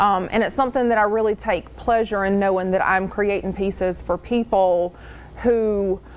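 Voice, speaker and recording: A woman with a plain, everyday voice speaks at a moderate pace and a medium pitch. Her intonation is fairly even and her loudness very even. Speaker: crochet maker, stay-at-home mother. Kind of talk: interview answer.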